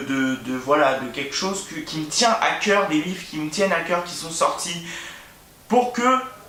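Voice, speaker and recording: This man talks at a fairly slow pace in a high voice with ordinary pitch variation, while noticeable background noise and audible room echo sit behind him. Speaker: booktuber. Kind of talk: casual vlog monologue. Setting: at home, filming by his bed. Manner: hesitant, many fillers and repetitions.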